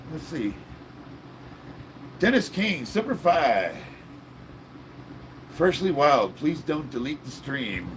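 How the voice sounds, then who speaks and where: A man talks at a very slow pace. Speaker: live streamer reading chat. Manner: casual, upbeat, chatty.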